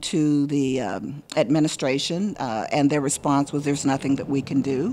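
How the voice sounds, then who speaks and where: In a Southern US accent, a woman speaks with a very deep, low pitch, a dark, mellow tone and ordinary pitch variation on a very clean recording with a silent background. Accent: Southern US (Georgia). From US South, rural Hancock County, Georgia. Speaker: professional storyteller. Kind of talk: interview conversation. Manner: thoughtful, with fillers and repetitions.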